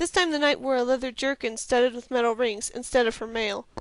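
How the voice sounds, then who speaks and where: Against a quiet background, the voice moves at a fairly quick pace with ordinary pitch variation. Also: woman. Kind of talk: audiobook read-aloud. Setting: headset microphone.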